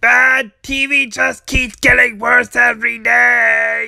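The speaker puts on a character voice and talks at a very slow pace. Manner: sarcastic, complaining.

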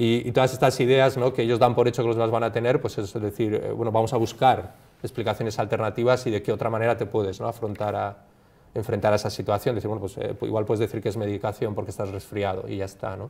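Delivering his words at a very fast pace, a man speaks with monotone, flat intonation. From Basque Country, Bilbao. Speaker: clinical psychologist and university lecturer. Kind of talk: interview. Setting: studio. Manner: halting, many fillers. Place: studio.

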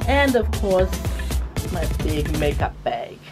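There is clear music in the background as a woman speaks. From Fiji. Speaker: radio and television broadcaster, commercial voice. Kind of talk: casual talk to camera, what's in my bag segment. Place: studio.

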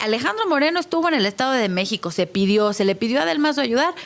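A woman talks very fast in a high voice. Her pitch swings very widely. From Mexico. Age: 30s. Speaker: politician. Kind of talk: televised debate. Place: studio. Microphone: studio mic.

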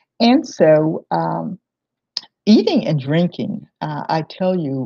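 A woman talks with lively intonation in a fairly low pitch. Her tone is dark, mellow and somewhat breathy, over a quiet background. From southwestern Virginia, US South. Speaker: historian and museum director; presenter. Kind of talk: lecture. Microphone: webcam.

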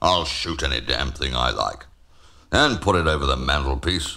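A man's put-on character voice, growling and very deep and low, at a moderate pace

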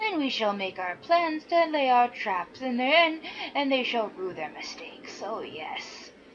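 A woman cackles in a put-on character voice, high in pitch, with very wide pitch swings. She keeps a moderate pace over clear background noise. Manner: cackling, menacing, scheming.

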